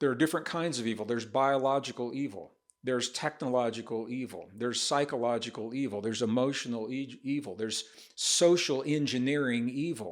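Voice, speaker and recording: The speaker has a Midwestern American accent and a fairly quick pace. Pitch variation is ordinary, and the recording is very clean with a silent background. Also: man. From US Midwest, rural northern Missouri. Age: 70s. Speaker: author and speaker on science and spirituality. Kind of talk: podcast interview.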